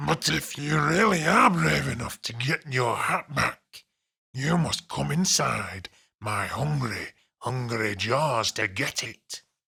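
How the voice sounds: This raspy, put-on character voice comes from a man at medium pitch. He goes at a fairly slow pace with very wide pitch swings.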